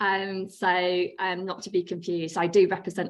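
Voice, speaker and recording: Over a quiet background, a woman speaks in a British accent with monotone, flat intonation. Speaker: nurse researcher. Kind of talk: conference presentation. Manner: hesitant, many ums.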